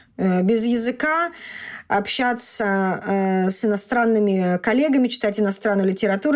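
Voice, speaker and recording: A woman with an ordinary speaking voice, fairly high in pitch and with ordinary pitch variation, is heard on a very clean recording against a silent background. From Russia. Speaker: doctor. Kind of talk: interview.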